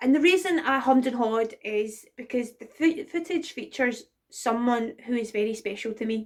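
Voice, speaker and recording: A woman with a Glaswegian accent talks at a moderate pace, her high pitch showing ordinary variation. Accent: Glaswegian Scottish. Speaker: burlesque performer. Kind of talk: casual talk to camera, personal tribute. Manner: emotional, hesitant.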